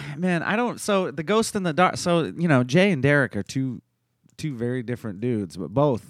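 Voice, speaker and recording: A man uses a normal speaking voice at a moderate pace with lively intonation. The recording is very clean, with a silent background. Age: 40s. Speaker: accountant and jiu-jitsu purple belt. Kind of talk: casual chat.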